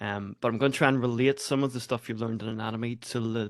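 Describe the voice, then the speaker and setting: Speaking very fast with an Irish accent, a man keeps his medium-pitched voice fairly even in intonation. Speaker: lecturer, intensive care and emergency medicine consultant. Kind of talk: medical teaching. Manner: fast talker.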